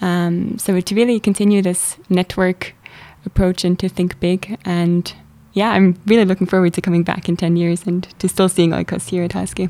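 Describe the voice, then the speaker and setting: In a dark, mellow tone, a woman talks at a moderate pace and medium pitch with monotone, flat intonation, the sound dry and close with no echo. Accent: German. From Switzerland, Zurich. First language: German. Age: 20s. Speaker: student leader. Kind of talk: interview.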